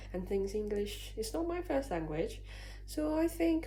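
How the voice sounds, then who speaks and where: With audible room echo, a woman speaks at a fairly slow pace in a Chinese accent. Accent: Mandarin Chinese accent in English. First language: Mandarin. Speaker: vlogger. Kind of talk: casual vlog talk to camera.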